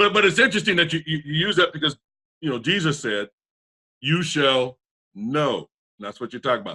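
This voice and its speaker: A man talks at a fairly quick pace with long, frequent pauses, his fairly high voice bright and sharp, with vocal fry. His pitch swings very widely in an animated tone, and the sound is dry and close with no echo. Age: 60s. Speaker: talk show host. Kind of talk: casual chat.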